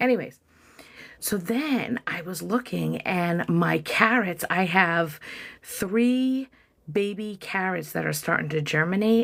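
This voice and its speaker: A woman with an American accent speaks in a fairly low pitch, her voice showing vocal fry. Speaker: content creator. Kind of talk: casual chat. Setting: livestream from home office.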